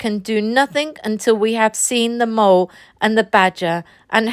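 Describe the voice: A fairly even intonation across plain reading aloud.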